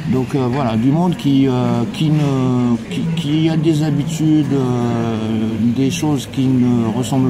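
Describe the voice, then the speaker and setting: A man speaks at a medium pitch with ordinary pitch variation. Audible room echo and noticeable background noise surround his voice. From Morocco. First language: Arabic (speaking French). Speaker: passer-by interviewed on the street. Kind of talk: street interview. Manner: halting, many hesitations.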